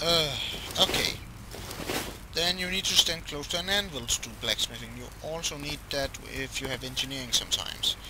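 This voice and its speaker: A man at a moderate pace with long, frequent pauses, noticeable background noise. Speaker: gaming video maker. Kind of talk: gameplay tutorial. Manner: hesitant with many fillers; loud, speaking up.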